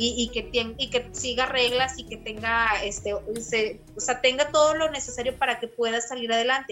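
With noticeable background noise, a woman in a northern Mexican accent talks at a moderate pace with hardly any pauses, a high pitch and fairly even intonation. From Saltillo, Coahuila, northern Mexico. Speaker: primary school teacher. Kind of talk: casual interview.

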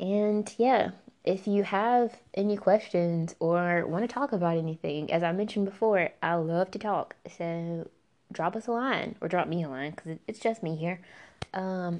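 A woman speaks with a Southern US accent at a fairly slow pace. Her pitch rises and falls in an ordinary way. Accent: Southern American. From US South. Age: 20s. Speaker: podcast host. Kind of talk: casual monologue. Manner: animated.

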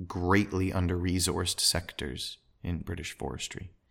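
Very deep and low, a man's voice carries a Canadian accent on a very clean recording with a silent background. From Alberta, Canada. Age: 30s. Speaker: tree planting contractor, podcaster. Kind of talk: solo podcast monologue. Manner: halting, many fillers.

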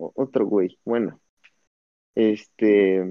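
At a very slow pace, a man speaks in a fairly low, monotone voice with flat intonation. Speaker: podcast guest. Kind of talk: casual chat.

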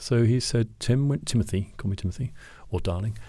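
Heard in a very clean recording with a silent background, a man with a British accent speaks at a medium pitch with ordinary pitch variation, his tone dark, mellow and somewhat breathy. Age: 50s. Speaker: photographer. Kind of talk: interview.

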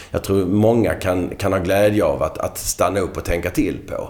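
Noticeable background noise behind a man's moderately paced speech. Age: 50s. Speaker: marketing director. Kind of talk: podcast interview.

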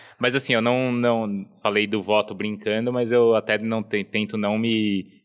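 A man's bright, sharp voice comes through on a very clean recording with a silent background. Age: 30s. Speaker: sports TV anchor and journalist. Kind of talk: casual chat.

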